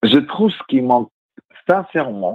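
A man with a plain, everyday voice, lively intonation and a fairly slow pace. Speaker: radio guest. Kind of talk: casual chat. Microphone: phone line changes his voice.

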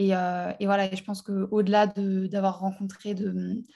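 Against a quiet background, a woman speaks at a medium pitch in a somewhat breathy voice with a dark, mellow tone and monotone, flat intonation. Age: 20s. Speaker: life purpose coach. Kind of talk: casual chat.

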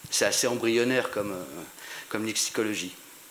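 A man's medium-pitched voice at a fairly quick pace, with ordinary pitch variation, audible room echo and noticeable background noise. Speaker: audience member, veteran journalist. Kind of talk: audience question. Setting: conference audience. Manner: hard to hear.

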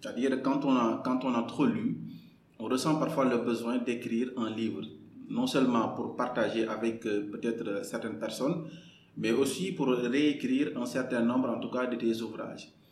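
A man is speaking. Noticeable background noise and audible room echo come through. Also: medium pitch for a man, ordinary pitch variation, moderate pace. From Senegal, Kaolack. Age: 30s. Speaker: novelist and lawyer. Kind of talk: podcast interview. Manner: halting, many repetitions.

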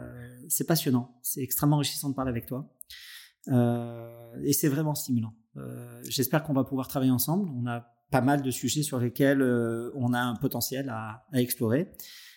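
Long, frequent pauses break up speech that keeps a moderate pace and fairly even intonation. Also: man, medium pitch for a man. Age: 50s. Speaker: podcast host, entrepreneur and business angel. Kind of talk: interview conversation.

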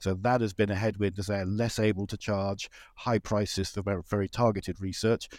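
Fairly quick and delivered in monotone, flat intonation, the speech comes in a very clean recording with a silent background. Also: man, fairly low pitch for a man. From Britain. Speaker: investment director. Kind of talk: interview.

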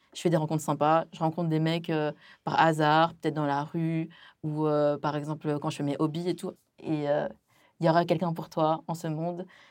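A woman at a very deep, low pitch and a moderate pace, with monotone, flat intonation, in a very clean recording with a silent background. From France, Chinese family from Wenzhou. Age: 20s. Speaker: food content creator. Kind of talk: casual chat.

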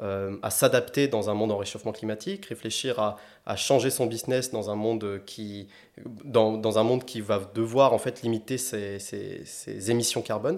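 This man speaks at a moderate pace in a medium pitch. His intonation stays fairly even. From southwest France, Agen. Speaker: climate-energy consultant. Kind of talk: interview conversation. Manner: halting, many fillers and repetitions.

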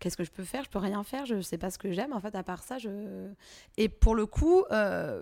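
A medium-pitched woman at a fairly quick pace with ordinary pitch variation, on a very clean recording with a silent background. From Provence, southern France (Drôme provençale). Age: 30s. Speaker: entrepreneur. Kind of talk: interview. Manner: casual, hesitant with many fillers.

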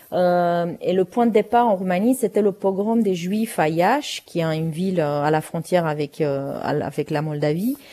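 Speaking at a fairly slow pace with hardly any pauses, a woman with a Romanian accent has a fairly low pitch, a dark, mellow tone and lively intonation. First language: Romanian (speaking French). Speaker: playwright and novelist. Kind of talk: interview. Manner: halting, many repetitions.

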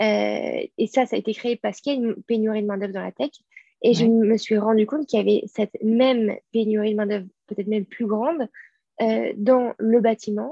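A woman talks in a normal speaking voice at a fairly quick pace. Her pitch is fairly high and her intonation fairly even. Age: 20s. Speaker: school director and co-founder. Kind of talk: interview conversation. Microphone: connection dropped out.

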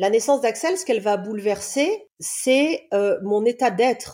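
A woman's fairly high voice has a dark, mellow tone and lively intonation. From Réunion island. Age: 40s. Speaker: love coach and therapist. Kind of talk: casual interview, personal testimony.

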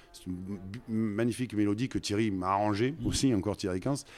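This voice speaks in a Provençal accent with ordinary pitch variation. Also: man. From Marseille, southern France. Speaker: orchestral trombonist. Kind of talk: casual interview.

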